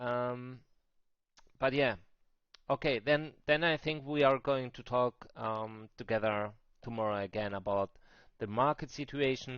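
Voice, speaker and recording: Against a quiet background, a man with a German accent talks at a fairly slow pace, his medium pitch showing ordinary variation. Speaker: crypto trading streamer. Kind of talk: live stream market talk. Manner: halting, with many fillers and repeats.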